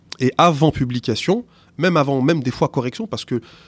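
A man talks at a fairly quick pace with lively intonation. The sound is dry and close with no echo. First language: not French (speaking French). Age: 40s. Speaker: teacher. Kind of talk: interview. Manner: halting, many repetitions.

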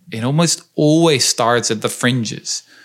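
A man's intonation rises and falls in a lively way. He keeps to a fairly slow pace. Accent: Dutch. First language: Dutch. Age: young. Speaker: historian and author. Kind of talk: interview conversation.

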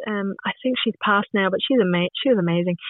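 With a Scottish accent, a woman is speaking. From Scotland. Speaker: podcast guest. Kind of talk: casual chat.

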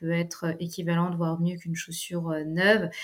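A woman is speaking at a fairly slow pace. Her pitch is fairly low. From Paris, France. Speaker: entrepreneur. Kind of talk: interview. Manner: halting.

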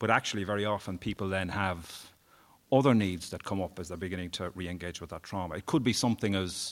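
A man talks with a very deep, low pitch. His pitch varies in an ordinary way. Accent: Irish. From Ireland, Wexford. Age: 50s. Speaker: human rights campaigner. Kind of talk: casual interview.

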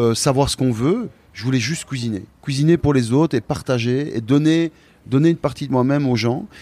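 A man's fairly high, dark, mellow voice at a moderate pace with ordinary pitch variation. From Belgium, Liège. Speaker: chef. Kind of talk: interview. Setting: restaurant dining room. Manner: halting.

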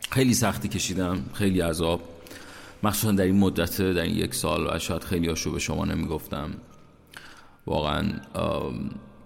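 The speech moves at a moderate pace with long, frequent pauses and ordinary pitch variation, in audible room echo. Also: man, very deep, low pitch for a man. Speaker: podcast host. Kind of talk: personal monologue.

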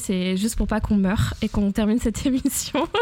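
Noticeable background noise sits behind a woman's voice. She talks fairly quickly at a fairly high pitch. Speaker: podcast host. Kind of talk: podcast intro and outro; casual interview. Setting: home apartment during heatwave.

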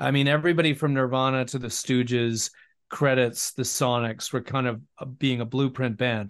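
Over a quiet background, a man talks at a moderate pace with fairly even intonation. He has an ordinary speaking voice. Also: medium pitch for a man. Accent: Canadian. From West Vancouver, British Columbia. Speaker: musician and broadcaster. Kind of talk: casual interview chat.

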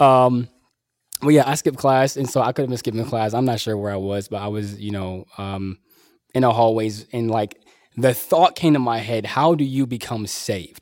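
On a very clean recording with a silent background, a man talks in a medium pitch. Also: ordinary pitch variation, moderate pace. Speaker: teacher. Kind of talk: casual interview. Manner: loud; animated.

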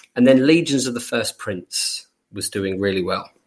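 The man's voice sits at a medium pitch, somewhat breathy, with ordinary pitch variation at a moderate pace. The recording is very clean, with a silent background. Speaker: tabletop gaming podcast co-host. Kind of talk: casual chat.

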